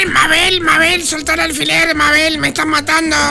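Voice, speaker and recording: Someone uses a put-on character voice at a high pitch and a moderate pace. Loud background noise runs underneath. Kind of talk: Rioplatense Spanish. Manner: mock pleading, dramatic.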